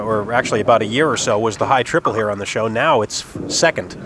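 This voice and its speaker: A man speaks in an upbeat tone, his voice dry with no echo, over noticeable background noise. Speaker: TV bowling play-by-play host. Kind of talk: live sports commentary. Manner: brisk, upbeat play-by-play announcer.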